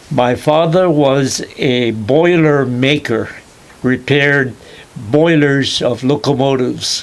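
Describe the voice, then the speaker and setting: At a very slow pace, a man with a fairly high pitch speaks at a very even loudness. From Hawaii (Kauai, plantation). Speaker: retired chemistry professor. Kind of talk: oral history interview. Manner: halting, many fillers.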